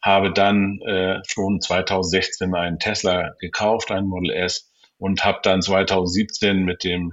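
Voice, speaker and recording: The man's voice sits at a very deep, low pitch. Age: 50s. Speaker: YouTuber and car dealer, rally co-founder. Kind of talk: interview.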